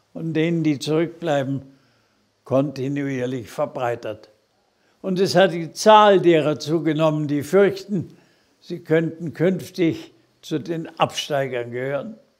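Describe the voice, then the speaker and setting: Very slow and broken by long, frequent pauses, a man's fairly high voice shows ordinary pitch variation against a quiet background. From Germany. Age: 80s+. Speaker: politician. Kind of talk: political video address. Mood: earnest, admonishing. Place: office. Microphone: lapel.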